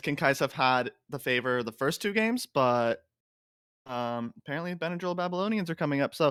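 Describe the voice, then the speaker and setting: Recorded dry and close with no echo against a silent background in a very clean recording, a man talks at a fairly quick pace with a fairly high pitch and ordinary pitch variation. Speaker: amateur esports caster. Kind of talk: live game commentary. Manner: fast.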